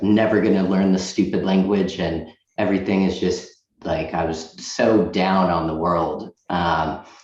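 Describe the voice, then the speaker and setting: Amid audible room echo, a man with a very deep, low pitch speaks at a fairly slow pace with fairly even intonation. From Boston area, US (born in Russia, moved age 6). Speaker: loan officer. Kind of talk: interview.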